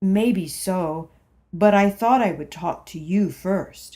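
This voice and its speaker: A woman puts on a character voice at a very slow pace, her medium pitch showing ordinary pitch variation. Her loudness swings widely. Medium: read story. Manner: hesitant, timid.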